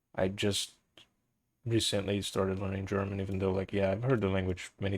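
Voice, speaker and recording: Speaking at a moderate pace with a slight non-native accent, a man uses a fairly low, monotone, flat voice that is somewhat breathy. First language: Portuguese. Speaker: live streamer. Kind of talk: casual chat.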